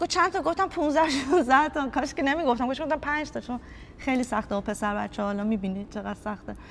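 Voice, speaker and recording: A woman's high, animated voice at a very fast pace, with lively intonation. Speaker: youth football coach. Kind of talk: interview.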